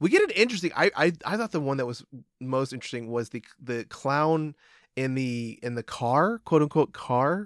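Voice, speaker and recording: A man's unremarkable speaking voice, fairly high in pitch, with lively intonation at a moderate pace, recorded very cleanly against a silent background with a dry, close sound and no echo. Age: 30s. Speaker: podcast co-host. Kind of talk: casual chat.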